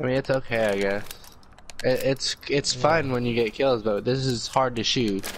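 A man speaks at a moderate pace and medium pitch with fairly even intonation. Noticeable background noise runs behind him. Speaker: gaming YouTuber. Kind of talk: casual gameplay commentary.

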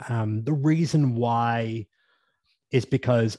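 A man's medium-pitched voice in a Northern Irish accent, against a quiet background. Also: dry sound with no echo. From Northern Ireland. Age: 30s. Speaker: business coach to fitness professionals. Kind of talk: casual interview chat. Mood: reflective, calm. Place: home room. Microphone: studio mic.

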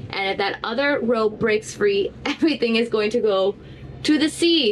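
A woman at a moderate pace with ordinary pitch variation and light background noise. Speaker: sailing vlogger. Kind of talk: casual vlog chat. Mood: worried but joking. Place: boat. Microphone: phone near.

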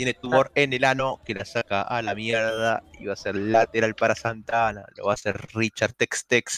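At a medium pitch, a man speaks in a monotone, flat intonation, with hardly any pauses. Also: moderate pace, dry, close sound with no echo. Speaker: esports match commentator. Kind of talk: live commentary.

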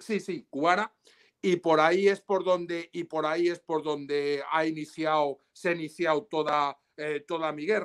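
A man's normal speaking voice, fairly high in pitch, with fairly even intonation and a fairly slow pace against a quiet background. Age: 60s. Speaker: lawyer. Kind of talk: interview. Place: home room. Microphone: video call.

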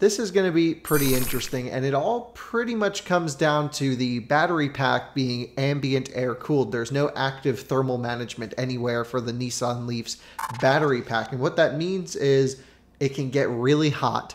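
Light background noise sits behind a man who talks at a moderate pace with ordinary pitch variation. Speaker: car reviewer. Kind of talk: commentary. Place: kitchen. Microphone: studio mic.

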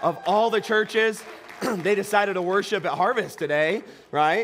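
A man at a moderate pace, with crowd noise in the background. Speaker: pastor. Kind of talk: sermon. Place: church. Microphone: headset.

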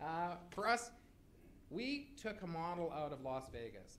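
This man's pitch swings very widely. There is light background noise. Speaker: casino resort revenue manager. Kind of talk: conference talk. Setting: stage with audience. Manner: fast talker; animated. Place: hall. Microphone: podium.

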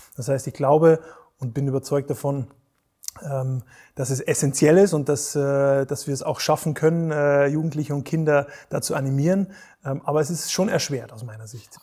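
Somewhat breathy and dark, mellow in tone, the voice moves at a moderate pace with fairly even intonation and long, frequent pauses over a quiet background. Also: man, fairly high pitch for a man. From Bavaria, Germany. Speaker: resilience coach and Olympic rowing champion; resilience coach. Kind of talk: interview conversation. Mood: calm, thoughtful, friendly.

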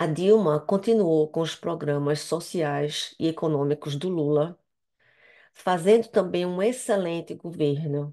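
Against a quiet background, a woman with a Brazilian accent speaks in a dark, mellow tone at fairly low pitch with ordinary pitch variation. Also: fairly slow pace. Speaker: interpreter practice speaker; speaker. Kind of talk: prepared practice speech. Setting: video call. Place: home room. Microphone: headset.

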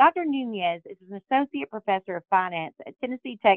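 A woman speaks at a moderate pace against a quiet background. The sound is dry, with no echo. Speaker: podcast co-host. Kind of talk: podcast host introduction. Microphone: phone line.

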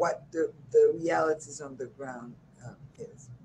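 A dark, mellow, somewhat breathy tone in an American accent, at a fairly slow pace. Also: woman. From New York. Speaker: nonprofit director and community organizer. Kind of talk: interview. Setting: video call.

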